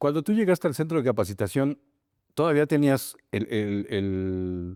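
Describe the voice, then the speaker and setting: A man's dark, mellow voice moves at a fairly slow pace with very wide pitch swings. The recording is very clean with a silent background, dry and close with no echo. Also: medium pitch for a man. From Mexico. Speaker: podcast host. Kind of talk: interview.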